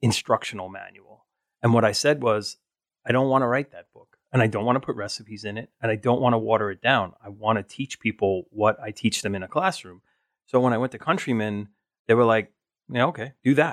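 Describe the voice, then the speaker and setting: In a very clean recording with a silent background and a dry, close sound with no echo, a man with an American accent uses an ordinary speaking voice at medium pitch, talking at a fairly quick pace with ordinary pitch variation and big swings in loudness. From New York, Staten Island. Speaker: food photographer. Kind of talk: interview.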